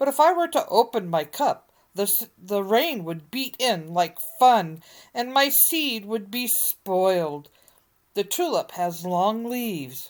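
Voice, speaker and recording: A put-on character voice, female-sounding and fairly high in pitch for a woman, at a fairly slow pace in a very clean recording with a silent background. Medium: read story.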